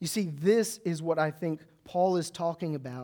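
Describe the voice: A man speaks with a fairly high pitch. The tone is dark and mellow.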